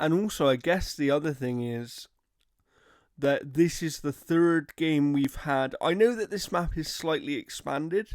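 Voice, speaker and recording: This man has a fairly high pitch and ordinary pitch variation. His pace is fairly slow. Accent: British. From Britain. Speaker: gaming podcast co-host. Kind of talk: casual chat.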